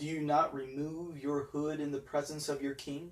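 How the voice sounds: A man's put-on character voice, fairly high in pitch, monotone and flat in intonation, at a moderate pace.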